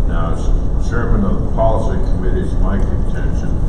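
The room echo around this man's voice is audible. Loud background noise is present. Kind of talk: formal meeting statement. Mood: firm, procedural. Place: hall. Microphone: camera far.

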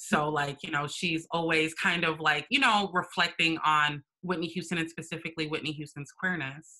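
A woman with an American accent speaks at a moderate pace in an unremarkable speaking voice, with a fairly low pitch and fairly even intonation. She hardly pauses, and the background is quiet. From Minnesota, US. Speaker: writer and performance artist; interview guest. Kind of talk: casual interview chat. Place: home room. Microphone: video call.

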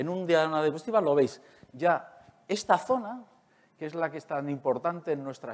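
With lively intonation, a man talks at a fairly high pitch. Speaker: neuroscientist; conference speaker. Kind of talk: lecture. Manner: fast. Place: hall.

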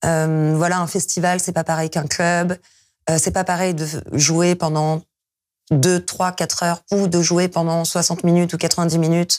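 A woman speaks with a fairly low pitch at a fairly slow pace. Her background is quiet. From France. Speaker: DJ and music producer; DJ, guest. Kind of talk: interview. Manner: hesitant, many fillers. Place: studio. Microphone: lapel.

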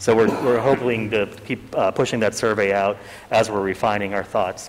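Over noticeable background noise, a man with an American accent speaks very fast in a fairly low, monotone, flat voice. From Pittsburgh, western Pennsylvania; Pennsylvania. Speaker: economic development consultant; consultant presenting to council. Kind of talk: presentation. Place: meeting room.

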